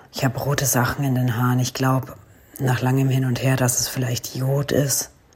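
Through noticeable background noise, a woman speaks in a very deep, low pitch. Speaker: podcast co-host, recovering accident survivor. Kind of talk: audio diary recordings.

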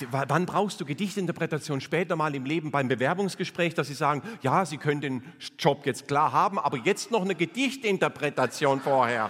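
A man speaks at a fairly quick pace in a normal speaking voice. His pitch is fairly high, with ordinary pitch variation. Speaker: cabaret artist. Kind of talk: stand-up. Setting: stage with audience.

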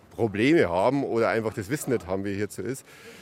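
A man is speaking. His pace is very fast. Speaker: social worker in youth welfare. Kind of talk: interview. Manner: calm.

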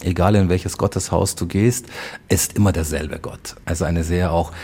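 The intonation stays fairly even while noticeable background noise runs underneath. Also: man. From Bavaria (rural village near Munich). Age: 40s. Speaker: community volunteer and father. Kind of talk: interview conversation. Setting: mosque in Munich old town.

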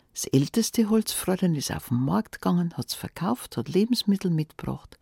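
A woman's fairly low, somewhat breathy voice with a dark, mellow, warm tone and very wide pitch swings, dry and close with no echo. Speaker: fairy tale narrator. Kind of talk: fairy tale telling, folksy storytelling in dialect, addressing listeners directly. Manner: warm, cozy, lively storyteller voice with dialect colour; conversational, unhurried with expressive character voices.

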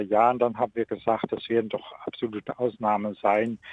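A man talks with a Dutch accent at a medium pitch. His intonation stays fairly even. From Netherlands. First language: Dutch (speaking German). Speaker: ethics professor. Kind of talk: radio interview. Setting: remote connection. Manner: halting.

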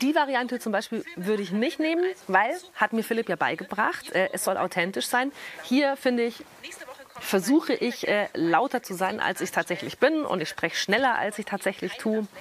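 Against noticeable background noise, a woman's fairly high voice moves in very wide pitch swings. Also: moderate pace. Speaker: radio presenter. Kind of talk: tutorial. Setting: film school cinema. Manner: casual, lively.

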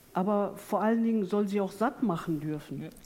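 The voice belongs to a woman with a medium pitch. It has a dark, mellow tone. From Ruhr area, Duisburg. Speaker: poet. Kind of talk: panel discussion on stage. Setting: theatre stage with audience.

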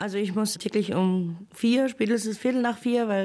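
Fairly even in intonation, this is a plain, everyday voice. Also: woman. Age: 30s. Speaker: single mother, cleaner. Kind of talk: interview testimony.

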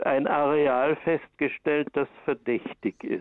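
Speaking at a very slow pace, a man with a fairly high pitch keeps his intonation fairly even. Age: 70s. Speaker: caller, patient. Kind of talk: phone-in question. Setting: phone call.

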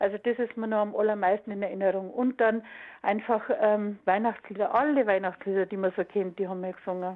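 A woman with a plain, everyday voice speaks at medium pitch and a fairly quick pace, her intonation fairly even. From Munich (Aubing), Bavaria. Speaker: former school radio choir singer. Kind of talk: interview reminiscence. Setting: phone call.

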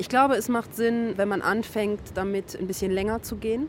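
A plain, everyday voice speaks at a fairly quick pace. Its pitch variation is ordinary. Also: woman. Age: 30s. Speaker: coach and amateur surfer. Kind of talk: interview.

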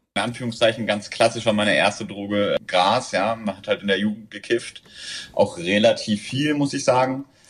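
A man's medium-pitched voice at a moderate pace, fairly even in intonation, over noticeable background noise. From southern Germany. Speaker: recreational drug user. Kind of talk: interview.

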